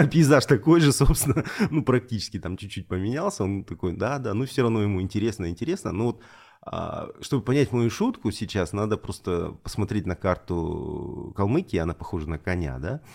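A man's fairly low voice with lively intonation at a moderate pace, on a very clean recording with a silent background. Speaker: podcast guest, regional journalist and editor. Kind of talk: interview, casual conversation. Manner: hesitant, filler words, repeats.

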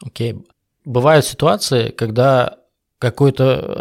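In a very clean recording with a silent background, a man talks at a medium pitch. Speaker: podcast host interviewing sales professionals; sales professional. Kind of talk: casual interview.

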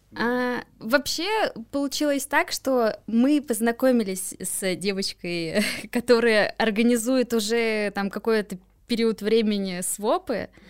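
Her pitch is fairly high for a woman. She speaks at a very slow pace. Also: ordinary pitch variation, very clean recording, silent background. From Moscow, Russia. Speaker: swap event organizer. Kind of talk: casual interview.

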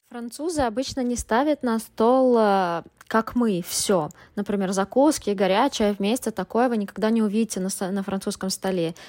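In a very clean recording with a silent background and a dry, close sound with no echo, a woman with an unremarkable speaking voice talks at a fairly high pitch and moderate pace with ordinary pitch variation. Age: 30s. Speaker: guest, student, wife of a Frenchman. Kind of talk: recorded personal story.

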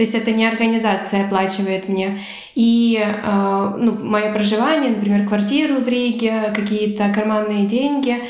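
The speech moves at a moderate pace with very even loudness, over noticeable background noise and audible room echo. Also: woman, fairly high pitch for a woman, fairly even intonation. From Ukraine. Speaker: volunteer and youth magazine founder. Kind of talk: casual chat.

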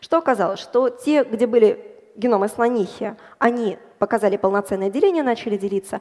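Speaking at a fairly quick pace, a woman uses a fairly high pitch with ordinary pitch variation and a dark, mellow tone. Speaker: bioinformatician and data scientist. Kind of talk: popular science talk on stage. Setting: stage with audience.

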